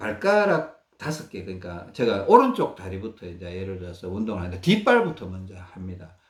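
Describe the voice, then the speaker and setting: A man talks at a fairly quick pace with hardly any pauses, his loudness swinging widely. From Gyeongsang region, South Korea. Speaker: health researcher sharing self-care methods. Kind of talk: instructional talk. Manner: halting, with many fillers.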